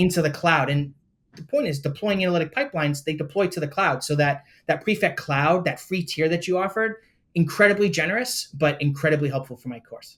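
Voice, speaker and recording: Talking very fast, a man uses a high pitch and lively intonation. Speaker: university lecturer. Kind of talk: interview. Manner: animated.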